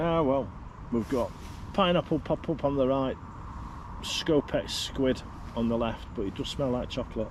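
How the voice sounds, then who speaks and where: A man with a Manchester accent talks at a medium pitch and moderate pace, with ordinary pitch variation and long, frequent pauses. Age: 50s. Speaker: angler livestreamer. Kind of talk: casual livestream talk. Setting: outdoors. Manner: casual.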